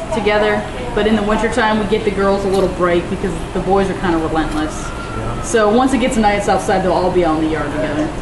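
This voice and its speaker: Over noticeable background noise, the speaker races along at a very fast pace with ordinary pitch variation. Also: woman. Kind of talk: interview answer. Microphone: camera far.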